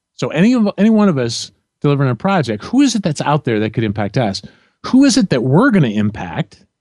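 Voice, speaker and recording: Very fast speech in a Midwestern American accent moves through very wide pitch swings. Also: man, fairly high pitch for a man. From central Illinois. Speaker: leadership and project management coach. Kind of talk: interview conversation.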